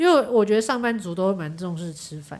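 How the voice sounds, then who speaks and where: Noticeable background noise behind a woman's fairly high voice, paced moderately. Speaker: event planner. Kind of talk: casual chat. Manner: loud.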